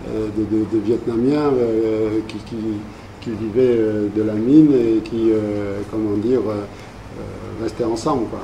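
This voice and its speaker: Amid noticeable background noise and audible room echo, a man speaks very slowly at medium pitch with fairly even intonation. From New Caledonia (Vietnamese community, Thio mining villages, Nouméa). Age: 60s. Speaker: community elder recounting life history. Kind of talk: interview, oral history. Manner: halting, many hesitations and repetitions.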